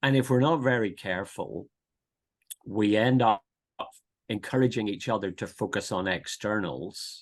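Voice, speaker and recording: A man with a Northern Irish accent speaks at a fairly low pitch. He leaves long, frequent pauses. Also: lively intonation, moderate pace. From Northern Ireland, near Belfast. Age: 50s. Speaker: pastor and theological teacher. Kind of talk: podcast interview. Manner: hesitant, many repetitions and fillers.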